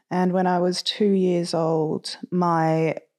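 Speaking in a fairly low pitch with an Australian accent, a woman is heard on a very clean recording with a silent background. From Australia, Sydney. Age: 20s. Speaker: mental health advocate. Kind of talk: personal testimony. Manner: animated.

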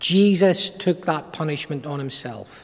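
With an Irish accent, a man speaks at a fairly slow pace, his pitch fairly high and its variation ordinary. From Ireland. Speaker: preacher. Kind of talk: sermon. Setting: church.

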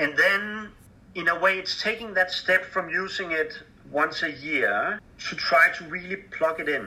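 A man with a Danish accent talks in a raised, projected voice at a fairly slow pace, his pitch high for a man. His intonation stays fairly even over noticeable background noise. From Denmark. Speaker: charity fundraising director. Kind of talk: interview. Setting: Skype call. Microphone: poor sound quality over Skype.

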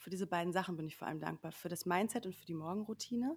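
This woman's voice sits at a fairly low pitch. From Sauerland, Germany. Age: 30s. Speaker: media professional and coach in training. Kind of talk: casual chat. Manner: halting, many fillers.

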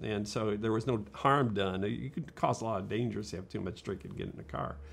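A man's fairly low voice carries noticeable vocal fry. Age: 60s. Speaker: architect and urban planner. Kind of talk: casual interview.

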